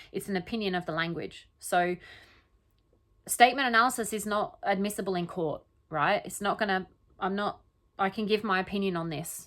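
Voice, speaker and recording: A woman talks at a fairly quick pace and medium pitch, with ordinary pitch variation and long, frequent pauses. The recording is very clean, with a silent background. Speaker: statement analysis commentator. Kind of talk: casual solo commentary. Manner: halting, self-correcting.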